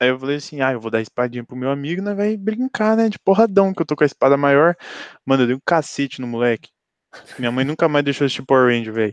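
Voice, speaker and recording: Against a quiet background, a man with a fairly high voice speaks at a very fast pace with lively intonation. The sound is dry and close, with no echo. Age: 20s. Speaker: podcast co-host, journalism student. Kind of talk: casual chat.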